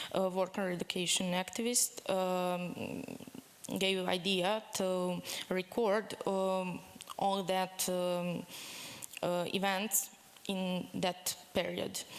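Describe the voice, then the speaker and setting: A woman with a Serbian accent speaks very slowly at a medium pitch, with long, frequent pauses. Her intonation is monotone and flat, and her loudness stays very even. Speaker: activist. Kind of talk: conference presentation. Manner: halting, many fillers.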